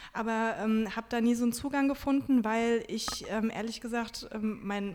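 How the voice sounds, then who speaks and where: Amid noticeable background noise, a woman speaks with a fairly high pitch and fairly even intonation. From Germany, Wiesbaden (Hesse). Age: 30s. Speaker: book blogger and journalist. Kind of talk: interview.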